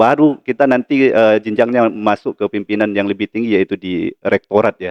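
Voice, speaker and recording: A man talks at a moderate pace in a fairly low pitch with fairly even intonation and hardly any pauses. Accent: Sumatran. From Lampung, Sumatra, Indonesia. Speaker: university lecturer and vice dean. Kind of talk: podcast interview. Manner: hesitant, many fillers.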